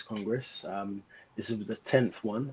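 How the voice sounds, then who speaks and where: A man talks at a moderate pace with a London accent. His voice sits at a medium pitch. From England, South London. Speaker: beekeeper. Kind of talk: interview presentation.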